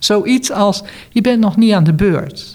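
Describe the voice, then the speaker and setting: The voice swings very widely in pitch over noticeable background noise. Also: woman. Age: 60s. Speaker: retired cancer support worker and former patient. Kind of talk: interview.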